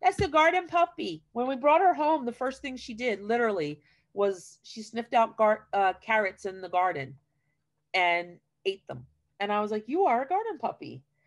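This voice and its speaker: Over faint music in the background, a woman's fairly high voice makes very wide pitch swings and big swings in loudness. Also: moderate pace. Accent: American. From New Jersey. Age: 40s. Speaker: retired teacher and school garden educator; retired teacher, school garden educator. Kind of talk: casual chat. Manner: talkative. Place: home room. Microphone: video call.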